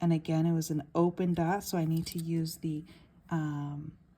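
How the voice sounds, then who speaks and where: Her voice is fairly low for a woman and somewhat breathy. The tone comes across dark and mellow. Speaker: math teacher. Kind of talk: tutorial. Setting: handheld camera while writing.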